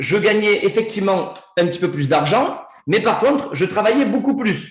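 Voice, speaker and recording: With a southern French accent, a man speaks in a high pitch with lively intonation at a moderate pace. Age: 40s. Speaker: network marketing presenter. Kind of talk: sales pitch. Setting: video call. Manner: animated.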